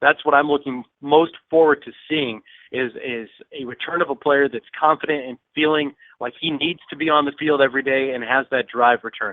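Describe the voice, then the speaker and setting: A man's fairly high voice, an ordinary speaking voice, at medium speed and fairly level in tone. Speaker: minor league baseball broadcaster guest. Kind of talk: casual baseball commentary.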